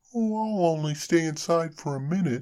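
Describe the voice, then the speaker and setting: A man puts on a character voice with a high pitch. He keeps a moderate pace and ordinary pitch variation. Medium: read story. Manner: cheerful, friendly.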